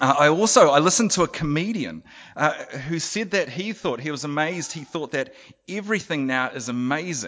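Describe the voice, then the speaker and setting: A man with a fairly high pitch. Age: 40s. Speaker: preacher. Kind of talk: sermon. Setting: church. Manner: halting.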